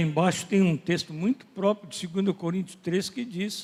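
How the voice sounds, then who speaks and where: A man's high voice with ordinary pitch variation. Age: 80s+. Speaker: pastor. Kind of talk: sermon.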